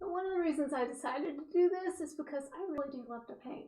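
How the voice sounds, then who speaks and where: Loud and at a fairly quick pace, a woman speaks in a high voice with ordinary pitch variation. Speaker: artist teaching oil painting. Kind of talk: painting tutorial. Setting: home studio, wearing headphones with music. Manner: casual, chatty.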